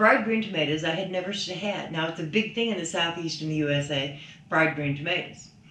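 A woman's voice is very deep and low in pitch. Audible room echo and light background noise are present. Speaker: vlogger's mother. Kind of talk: casual vlog chat. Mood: wry, mildly critical food review. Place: home room.

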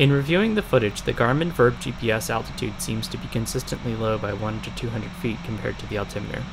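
With music in the background, a man talks at a very fast pace. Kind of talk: commentary.

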